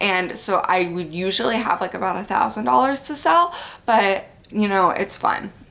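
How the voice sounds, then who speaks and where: Over noticeable background noise, a woman with a medium pitch speaks in an animated tone with lively intonation at a moderate pace. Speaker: lifestyle vlogger and mom. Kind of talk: casual vlog talk. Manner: chatty, animated.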